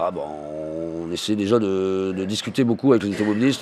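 A man speaks at a fairly quick pace. His pitch is very deep and low, with ordinary pitch variation. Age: 40s. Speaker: unemployed worker. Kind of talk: interview testimony. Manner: hesitant, many fillers.

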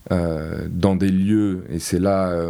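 A man's voice sits very deep and low, with a dark, mellow tone. His intonation is fairly even. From Corsica, Porto-Vecchio. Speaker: contemporary art event organiser. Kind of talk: interview. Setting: studio. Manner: halting, many hesitations.

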